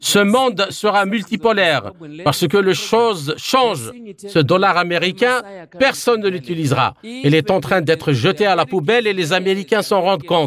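Over music in the background, a man talks at a moderate pace with a high pitch, lively intonation and very even loudness. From Zimbabwe. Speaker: activist. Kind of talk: interview.

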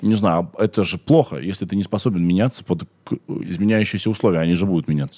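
A man's fairly low, dark and mellow voice at a very fast pace. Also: ordinary pitch variation. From Russia, Kirov. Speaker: podcast host. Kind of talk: casual chat. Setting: studio.

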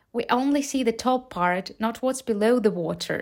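A woman talks fairly slowly with a Ukrainian accent. Her pitch is fairly high. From Ukraine. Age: 20s. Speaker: English teacher and podcaster. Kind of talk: motivational talk for English learners.

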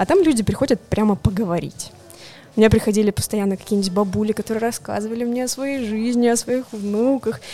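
Speech moves at a fairly quick pace with ordinary pitch variation. Noticeable background noise is present. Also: woman, fairly high pitch for a woman. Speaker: board game publisher's international projects manager. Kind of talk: casual chat. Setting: coffee shop.

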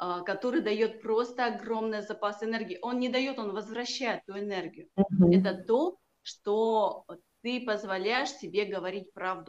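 At a moderate pace, a woman with a fairly high pitch and ordinary pitch variation talks in an unremarkable speaking voice. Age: 40s. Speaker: healer and coach. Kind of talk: casual interview.

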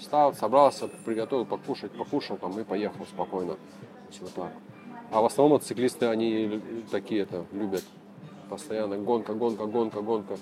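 Over music in the background, a man speaks at a moderate pace and a fairly low pitch, with fairly even intonation and long, frequent pauses. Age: 30s. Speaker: motorcycle traveler. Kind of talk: casual interview.

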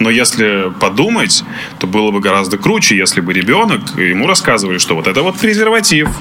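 Over noticeable background noise and audible room echo, a man talks at a fairly quick pace with very even loudness. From Russia, Izhevsk. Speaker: podcast host. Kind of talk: casual chat.

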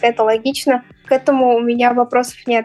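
Noticeable background noise surrounds a woman speaking in a high voice. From Tatarstan, Russia (village). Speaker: interviewee. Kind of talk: interview testimony.

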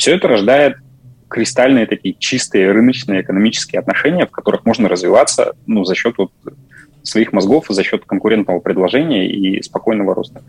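This man has an ordinary speaking voice, medium in pitch with ordinary pitch variation. He talks at a fairly quick pace, and the sound is dry and close with no echo. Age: 30s. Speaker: project manager. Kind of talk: casual chat.

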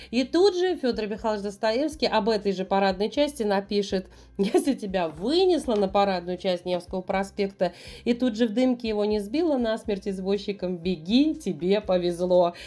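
A woman with a dark, mellow tone, lively intonation and a moderate pace. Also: medium pitch for a woman. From Saint Petersburg, Russia. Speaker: tour guide. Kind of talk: casual interview chat.

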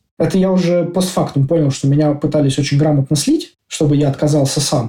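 The man's voice is somewhat breathy, with a dark, mellow tone. He keeps his intonation fairly even. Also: very even loudness. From Russia, Moscow. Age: 30s. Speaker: IT developer. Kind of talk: casual interview.

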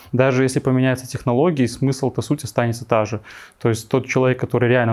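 A man uses a normal speaking voice, talking fairly quickly with fairly even intonation. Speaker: frontend developer and coding teacher. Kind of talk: casual interview chat.

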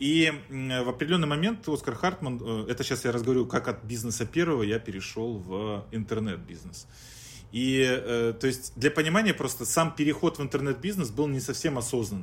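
A somewhat breathy man at medium pitch, fairly quick in pace, with lively intonation. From Chelyabinsk, Russia. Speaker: startup founder and business consultant. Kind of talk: podcast interview, business talk.

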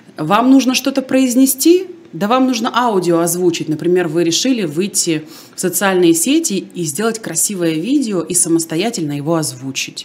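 Over noticeable background noise, a woman with a medium pitch talks at a moderate pace, her tone animated and her intonation lively. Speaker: speech coach and radio presenter. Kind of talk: casual interview. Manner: animated, articulate.

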